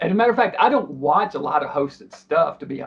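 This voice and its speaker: A high-pitched man talking at a very fast pace over noticeable background noise. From Nashville area, Tennessee. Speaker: horror host, interviewee. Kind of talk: casual interview answer.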